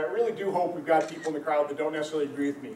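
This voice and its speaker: A man talks at a very fast pace. There is audible room echo and light background noise. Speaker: politician addressing a town hall. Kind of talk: public speech. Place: hall. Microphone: camera far.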